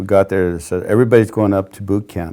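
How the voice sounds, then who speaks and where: In a dark, mellow tone, a man speaks with an American accent. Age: 60s. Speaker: war veteran. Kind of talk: oral history interview. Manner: halting, many fillers.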